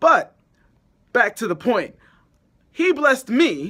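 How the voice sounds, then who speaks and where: Raised and projected, a man's extremely high-pitched voice sounds animated and bright, sharp in tone, with very wide pitch swings. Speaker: film vlogger. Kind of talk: casual vlog intro. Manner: loud.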